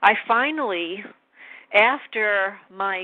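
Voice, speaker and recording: With an American accent, a woman speaks in lively intonation. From New York. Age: 50s. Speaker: interviewee. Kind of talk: testimony.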